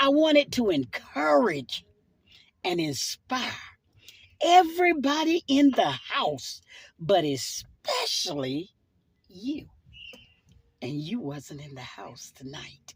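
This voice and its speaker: Speaking at a very slow pace with a Southern US accent, the voice makes very wide pitch swings and big swings in loudness, with long, frequent pauses. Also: woman, medium pitch for a woman. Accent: Southern US (Georgia). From US South. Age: 60s. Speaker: church minister. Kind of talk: sermon-style personal video message. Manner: fervent, preaching style.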